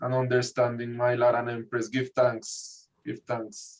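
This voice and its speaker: In a Spanish accent, a man speaks at a very slow pace and a medium pitch. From Spanish-speaking country. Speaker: Rastafarian priest. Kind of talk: religious study group reasoning.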